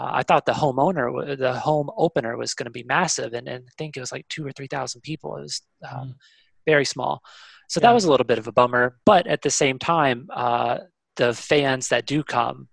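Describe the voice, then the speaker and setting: With a Kentucky accent, a man talks at a fairly quick pace and medium pitch, showing vocal fry, ordinary pitch variation and big swings in loudness, in a dry, close sound with no echo. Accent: American, Kentucky. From Kentucky, US (Louisville). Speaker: football fan. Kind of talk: casual interview.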